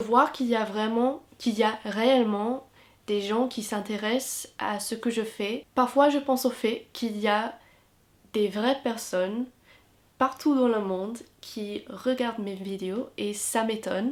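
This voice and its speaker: Very slowly and with an English accent, a woman talks at a fairly high pitch in a very clean recording with a silent background. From England. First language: English (speaking French). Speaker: YouTuber and university student. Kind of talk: Q&A vlog. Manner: hesitant with fillers.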